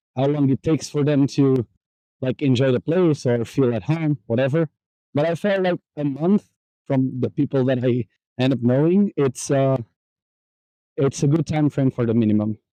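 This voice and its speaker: A man with a Portuguese accent speaks at a moderate pace with long, frequent pauses and ordinary pitch variation. His fairly high voice has a dark, mellow tone, a dry, close sound with no echo, and very even loudness. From Portugal, Porto. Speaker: digital nomad. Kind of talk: casual chat. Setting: outdoors. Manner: halting.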